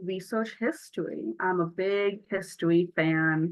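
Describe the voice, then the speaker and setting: A woman is speaking. She has a Buffalo accent. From Buffalo, New York. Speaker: youth peer advocate trainer. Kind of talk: training workshop.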